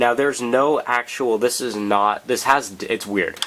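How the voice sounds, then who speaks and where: Noticeable background noise under a man's speech, with ordinary pitch variation. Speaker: model car reviewer. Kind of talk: casual talk to camera. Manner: casual, hesitant with fillers.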